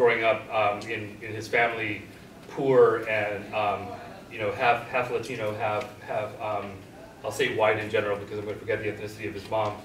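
Over light background noise with audible room echo, a man with a fairly low voice speaks at a fairly quick pace in a monotone, flat way. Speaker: guest professor. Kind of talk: discussion talk. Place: classroom. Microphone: camera far.

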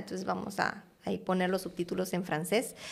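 The speaker has a slight Guatemalan accent and fairly even intonation against a quiet background. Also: woman. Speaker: art curator; podcast guest. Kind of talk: interview conversation. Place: studio. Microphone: studio mic.

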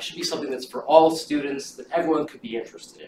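There is audible room echo and light background noise behind this man's voice. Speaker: event organizer introducing the lecture. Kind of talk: lecture. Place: classroom. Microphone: camera far.

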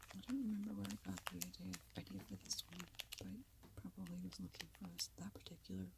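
Noticeable background noise sits behind this soft-spoken woman. She talks at a fairly quick pace. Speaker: ASMR content creator. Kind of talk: casual talk to camera, reflective commentary over old videos. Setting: lavalier microphone, lo-fi recording.

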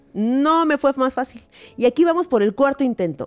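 A woman with a Mexican accent at a fairly quick pace, very wide pitch swings, and faint music in the background. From Mexico. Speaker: comedy podcast co-host. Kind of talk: casual comedic chat; comedic podcast monologue and chat. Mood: playful, humorous. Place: studio. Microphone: studio mic.

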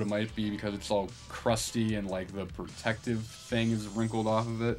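Faint background music under a man's moderate-paced speech. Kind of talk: casual vlog chat. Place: home room. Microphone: phone near.

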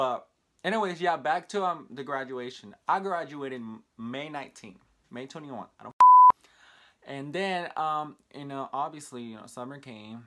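With an American accent, a man talks at a moderate pace with ordinary pitch variation and big swings in loudness, over light background noise. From Texas, small town. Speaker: vlogger. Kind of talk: casual vlog monologue. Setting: talking to camera. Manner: halting, many fillers. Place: home room. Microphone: phone near.

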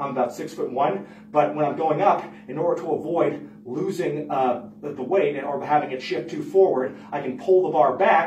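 A man at a moderate pace with ordinary pitch variation, audible room echo and light background noise. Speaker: lifting coach. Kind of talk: tutorial. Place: gym.

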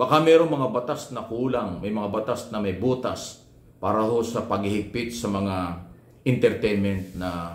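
Animated and somewhat breathy, a man speaks at a fairly low pitch with lively intonation and audible room echo. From Philippines. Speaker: vlogger and media commentator; political commentator. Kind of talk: opinion commentary monologue. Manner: animated, rhetorical. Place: home room. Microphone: phone near.

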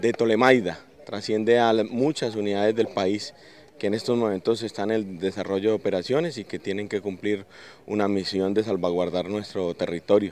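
At a moderate pace, a man with a fairly low pitch is heard in a dry sound with no echo and light background noise. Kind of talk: interview answer. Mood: formal, proud, earnest. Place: open country. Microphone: handheld.

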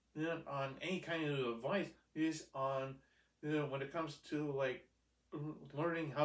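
Audible room echo surrounds a man who speaks at a fairly slow pace with fairly even intonation. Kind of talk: casual vlog chat. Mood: earnest, grateful. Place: home room. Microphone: camera far.

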